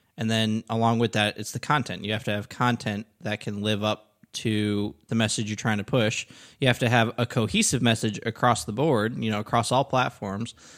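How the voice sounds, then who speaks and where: Dry and close with no echo over a silent background, a man of medium pitch talks at a moderate pace in a flat monotone, with hardly any pauses. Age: 20s. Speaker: digital marketing professional, podcast co-host. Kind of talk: casual chat.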